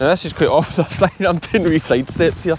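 Speaking with a strong Scottish accent at a fairly quick pace, a man sounds dry with no echo, and background noise is noticeable. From Ayrshire, South West Scotland. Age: 30s. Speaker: sheep farmer. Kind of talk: vlog narration. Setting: outdoors. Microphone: phone near.

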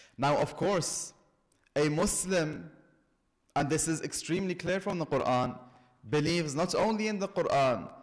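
A man with a high pitch and ordinary pitch variation speaks at a moderate pace against a quiet background. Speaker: religious lecturer. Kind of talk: sermon. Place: church. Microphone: podium.

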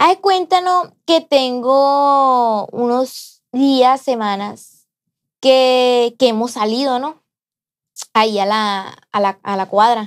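A very slow pace with lively intonation, over a quiet background. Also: woman, high pitch for a woman. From Sinaloa, Mexico. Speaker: podcast co-host. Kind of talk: casual chat. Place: studio.

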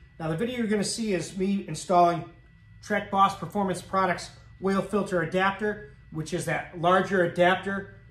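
Speaking at a moderate pace in a high pitch, a man is heard with audible room echo. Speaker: garage channel host. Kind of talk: casual vlog chat. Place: garage. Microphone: camera far.

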